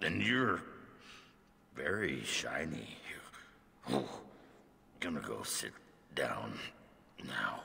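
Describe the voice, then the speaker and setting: A man puts on a character voice with a very deep, low pitch. He speaks at a very slow pace, with long, frequent pauses. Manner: slurred, woozy.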